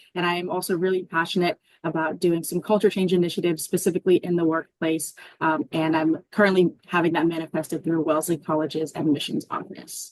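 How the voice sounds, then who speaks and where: A woman talks very fast in an American accent. Her fairly low voice stays monotone and flat. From Arizona. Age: 20s. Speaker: college student panelist. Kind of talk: casual panel chat.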